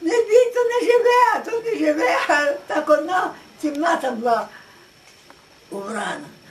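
A woman's extremely high voice with very wide pitch swings, at a fairly slow pace broken by long, frequent pauses. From Western Ukraine. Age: 80s+. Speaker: village elder recalling the past. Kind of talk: interview answer. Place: home room. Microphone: camera far.

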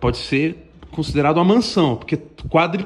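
This man's pitch is high. He speaks at a fairly quick pace. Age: 30s. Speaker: YouTuber, fitness influencer. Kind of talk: casual vlog monologue. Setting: at home. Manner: animated, slangy. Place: home room. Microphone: phone near.

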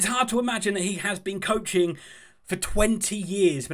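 A man's pitch varies in an ordinary way while he speaks at a fairly quick pace. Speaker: football fan channel host. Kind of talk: commentary. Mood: enthusiastic, upbeat.

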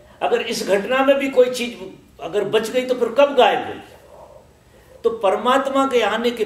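A man's voice with audible room echo. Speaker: spiritual teacher. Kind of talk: spiritual discourse. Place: home room.

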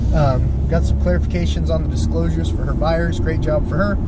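Loud background noise surrounds a man talking at a fairly quick pace in a dry sound with no echo. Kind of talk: casual vlog chat. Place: car. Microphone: phone near.

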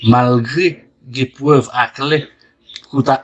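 This man talks with fairly even intonation. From Haiti. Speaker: news commentary video host. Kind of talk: news commentary. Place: studio.

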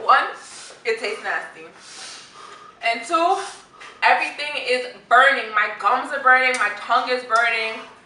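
A woman speaks at a moderate pace with a high pitch, leaving long, frequent pauses. Light background noise and audible room echo are present. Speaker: vlogger. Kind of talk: casual vlog chat. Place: home room. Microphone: camera far.

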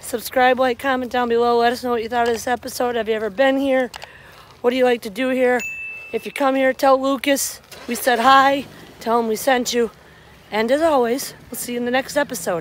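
With fairly even intonation, a woman talks at a fairly quick pace in a high voice, the sound dry with no echo and light noise in the background. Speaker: travel vlogger. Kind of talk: casual vlog chat. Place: street. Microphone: phone near.

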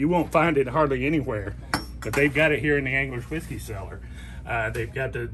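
A man with a Tennessee accent at a fairly quick pace, over noticeable background noise. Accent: Southern US (Tennessee). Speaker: fishing guide promoting a liquor store. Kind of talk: promotional product showcase. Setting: in a liquor store. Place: shop. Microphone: phone near.

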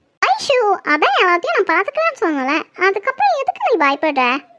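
A woman's cartoonish character voice, squeaky and extremely high, with very wide pitch swings, very even loudness and a moderate pace. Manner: harsh, impatient.

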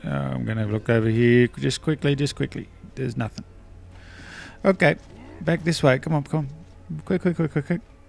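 With music in the background, a man mumbles at a medium pitch and a fairly quick pace, using lively intonation and long, frequent pauses. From Australia. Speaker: gaming video creator. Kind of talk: gameplay commentary.

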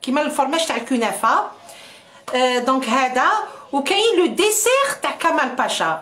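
Speaking at a very slow pace, a woman with a high voice keeps her loudness very even while her pitch swings very widely. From Algeria. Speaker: cooking livestreamer. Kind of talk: live cooking stream. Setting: livestream. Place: kitchen. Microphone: phone near.

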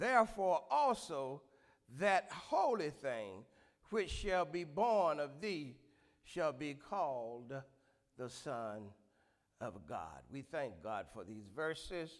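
A man at a very slow pace, with long, frequent pauses and a quiet background. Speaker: pastor. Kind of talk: scripture reading, then sermon opening and prayer. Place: church. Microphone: handheld.

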